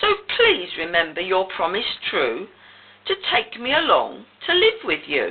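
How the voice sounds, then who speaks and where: A woman puts on a croaky character voice, high in pitch. She speaks at a fairly slow pace. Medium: read story. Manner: insistent.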